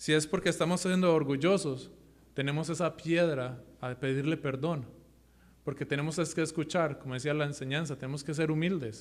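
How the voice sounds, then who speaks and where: Fairly high male voice with fairly even intonation. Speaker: lay preacher. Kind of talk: sermon. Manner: fast; halting.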